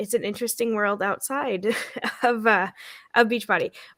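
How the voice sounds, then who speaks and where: A woman's bright, sharp tone with fairly even intonation, dry and close with no echo. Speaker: former network-marketing coach, stay-at-home mom. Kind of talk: casual chat. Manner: loud.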